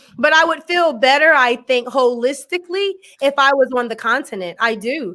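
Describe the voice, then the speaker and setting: A raised, projected voice with a bright, sharp tone speaks in an American accent, with lively intonation. The recording is very clean, with a silent background. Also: woman. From USA. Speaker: education scholar. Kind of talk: interview discussion.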